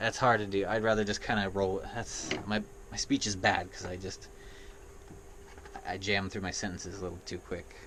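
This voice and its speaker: Amid noticeable background noise, a man speaks at a moderate pace with monotone, flat intonation and long, frequent pauses. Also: fairly low pitch for a man. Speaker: gaming vlogger. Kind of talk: casual vlog monologue. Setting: indoors in an RV.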